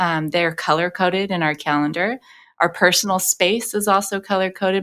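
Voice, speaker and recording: A woman speaks with an American accent. She uses an ordinary speaking voice with fairly even intonation. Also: very clean recording, silent background. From Los Angeles. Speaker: vocal coach and singer. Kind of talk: interview conversation. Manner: frequent filler words.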